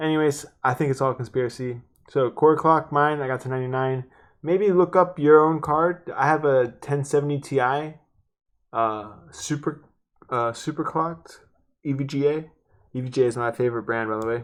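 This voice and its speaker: Against a quiet background, a man speaks at a fairly high pitch with ordinary pitch variation. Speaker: PC gaming tutorial youtuber. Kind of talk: tutorial. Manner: fast; rambling, casual.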